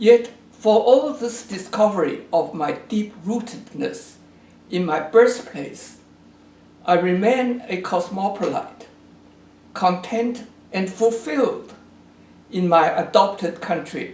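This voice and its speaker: A man with a Chinese accent and a high pitch talks at a very slow pace with long, frequent pauses, ordinary pitch variation and audible room echo. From China. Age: 80s+. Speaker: geography professor. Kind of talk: recorded address to an event. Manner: formal.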